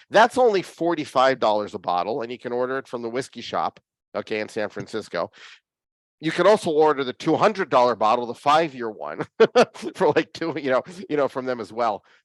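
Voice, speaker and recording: With a Philadelphia accent, a man of medium pitch speaks at a moderate pace in an animated tone and lively intonation, the sound dry and close with no echo against a quiet background. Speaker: whiskey hobbyist show host. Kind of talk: casual chat.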